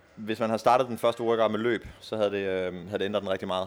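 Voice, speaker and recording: This is a man talking. His pace is very fast. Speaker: athlete. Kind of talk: casual interview.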